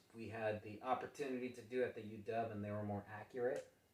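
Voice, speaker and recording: Monotone, flat intonation marks speech with an American accent at a fairly quick pace, over noticeable background noise. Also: man. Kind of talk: casual chat. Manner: halting, stumbles and pauses; repeats words.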